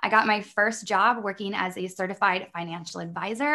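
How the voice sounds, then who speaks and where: A woman speaks with a Midwestern American accent, her tone bright and sharp. Her pitch sits in the medium range with ordinary variation, and her pace is moderate. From US Midwest. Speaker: online business coach. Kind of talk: interview conversation.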